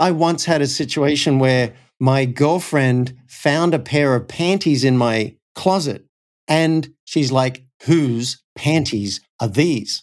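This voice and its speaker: A man with an Australian accent speaks at a very slow pace, his voice fairly high with ordinary pitch variation. His loudness is very even, on a very clean recording with a silent background. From Australia (Cessnock, NSW). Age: 50s. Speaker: coach and company founder. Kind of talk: interview conversation.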